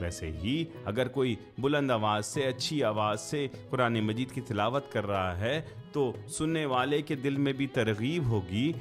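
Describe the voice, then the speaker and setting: Music plays in the background as a man with a medium pitch speaks with lively intonation. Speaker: Islamic podcaster / religious speaker. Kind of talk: casual explanatory commentary in Urdu.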